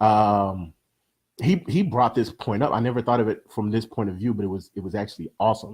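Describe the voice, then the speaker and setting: A man's fairly low voice at a fairly quick pace with ordinary pitch variation. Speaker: live show co-host. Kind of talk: casual live-stream chat. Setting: live video stream from home music room. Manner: speeds up when talking.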